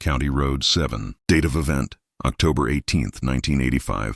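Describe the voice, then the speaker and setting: In a put-on character voice, a man speaks at a moderate pace with a very deep, low pitch. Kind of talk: police report reading. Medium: read story. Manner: clipped, formal.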